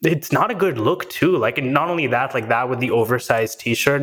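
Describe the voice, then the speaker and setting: The voice moves at a fairly quick pace with ordinary pitch variation over noticeable background noise. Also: man. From Oman, Indian family. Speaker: tech founder and CEO. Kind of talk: casual interview chat.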